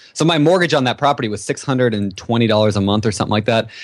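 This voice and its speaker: In an ordinary speaking voice, a man talks at a fairly quick pace and a fairly low pitch over a quiet background. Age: 20s. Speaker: real estate investor and podcast host. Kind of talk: casual interview.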